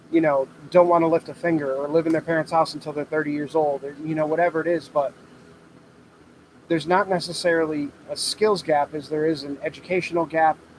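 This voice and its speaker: Over noticeable background noise, a man with an American accent talks very fast in a flat monotone. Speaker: welder and fabricator, channel owner. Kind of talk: livestream Q&A with chat. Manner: loud, talking over heater.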